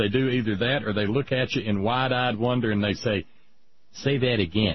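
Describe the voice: A man's fairly low voice at a moderate pace, with ordinary pitch variation.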